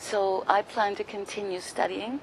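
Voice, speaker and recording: A woman speaks at a fairly slow pace in a flat, monotone delivery at a medium pitch, with noticeable noise in the background. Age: 60s. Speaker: yoga training graduate. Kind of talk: testimony.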